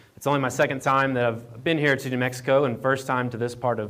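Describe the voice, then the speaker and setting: In a slight Appalachian accent, a man with a medium pitch talks at a fairly quick pace in a monotone, flat way, with audible room echo. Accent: Appalachian twang, slight. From Appalachian Virginia. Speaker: county association staffer, speaker. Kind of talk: conference presentation. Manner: halting, many fillers and repeats.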